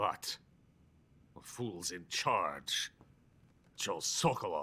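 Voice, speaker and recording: In a put-on character voice, a man speaks raspily at a very slow pace. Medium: video game. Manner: curt, dry.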